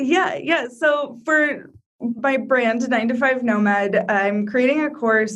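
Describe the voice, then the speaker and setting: At a very slow pace, the speech has ordinary pitch variation and very even loudness, with audible room echo. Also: woman, high pitch for a woman. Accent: American. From Iowa, US Midwest. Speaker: travel blogger and digital nomad. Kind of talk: interview.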